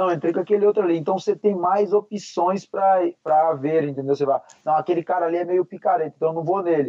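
Hardly pausing at all, a man with a high-pitched voice speaks at a very fast pace. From Paraná, Brazil. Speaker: MMA fighter. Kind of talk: casual chat. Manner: animated.

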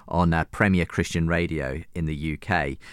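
Captured in a very clean recording with a silent background, a man with a British accent speaks in a very deep, low pitch. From UK. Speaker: radio and podcast host. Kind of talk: interview. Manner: halting.

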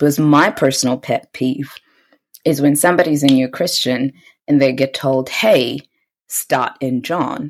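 Speaking with a New Zealand accent at a fairly slow pace, a woman has a very deep, low voice in a very clean recording with a silent background. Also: fairly even intonation. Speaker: podcast host. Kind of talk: casual chat.

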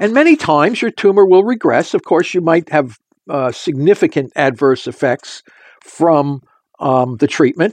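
An unremarkable speaking voice from a man, fairly high-pitched with lively intonation at a moderate pace, in a dry, close sound with no echo. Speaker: scientist. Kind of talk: interview explaining theory.

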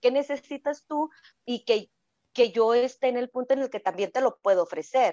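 A woman with a high-pitched voice talks at a fairly quick pace with ordinary pitch variation, her sound dry and close with no echo against a quiet background. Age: 40s. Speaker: sexologist. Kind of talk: casual chat.

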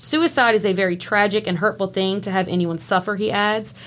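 At a fairly quick pace, a woman speaks with a medium-pitched voice. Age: 30s. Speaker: true crime podcaster. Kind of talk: casual chat.

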